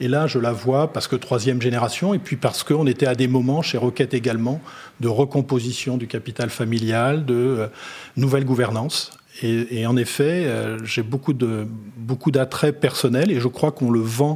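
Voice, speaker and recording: A man talks at a medium pitch and a moderate pace, his intonation fairly even. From Brittany, France. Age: 50s. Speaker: company chief executive. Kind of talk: interview. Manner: halting, with repetitions.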